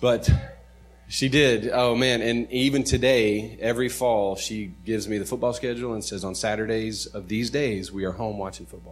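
With music in the background, a man of medium pitch speaks with an American accent, his loudness swinging widely. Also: fairly even intonation, moderate pace. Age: 30s. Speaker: pastor. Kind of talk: sermon.

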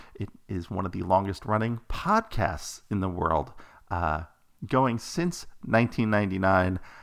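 A man with an ordinary speaking voice, fairly low pitch and ordinary pitch variation, at a fairly slow pace on a very clean recording with a silent background. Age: 40s. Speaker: podcast host. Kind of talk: casual monologue.

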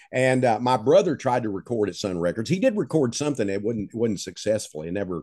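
Against a quiet background, a man speaks with an East Texas accent. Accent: East Texas Southern drawl. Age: 70s. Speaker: novelist. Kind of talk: interview storytelling.

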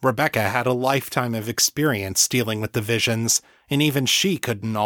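A natural voice reads the text aloud with ordinary ups and downs in pitch.

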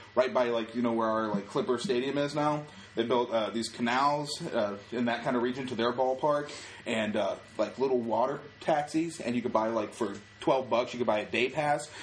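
A man talks at a moderate pace and medium pitch, his pitch varying in an ordinary way, with noticeable background noise present. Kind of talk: animated storytelling, tour-guide-style patter.

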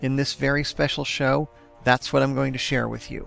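Over music in the background, a man speaks quietly at a fairly quick pace. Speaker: podcast host. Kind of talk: podcast monologue. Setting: home recording at night. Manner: quiet, subdued.

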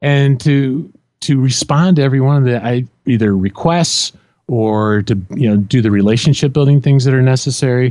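A man speaks with a Midwestern American accent at medium pitch and a moderate pace. His loudness stays very even, and his pitch variation is ordinary. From central Illinois. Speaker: leadership and project management coach. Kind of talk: interview conversation.

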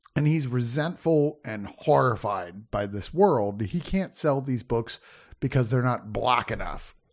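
Here a man has an unremarkable speaking voice. He talks at a fairly slow pace against a quiet background. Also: medium pitch for a man, lively intonation. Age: 50s. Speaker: film critic. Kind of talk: casual chat.

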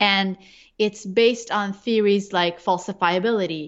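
A woman talks in a plain, everyday voice at a fairly slow pace. Her pitch is medium, with ordinary variation. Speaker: neurologist and researcher. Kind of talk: interview conversation.

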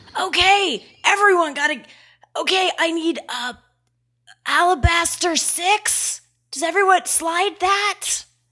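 In a put-on character voice, a woman speaks quietly and raspily at an extremely high pitch, with ordinary pitch variation, a fairly slow pace and long, frequent pauses. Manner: bossy, rambling.

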